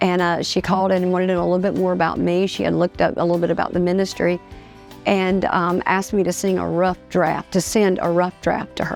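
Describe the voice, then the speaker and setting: Music plays behind a woman talking at a very fast pace. Her fairly low voice stays monotone and flat. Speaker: preacher; gospel singer. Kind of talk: personal story told to camera. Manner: casual, conversational.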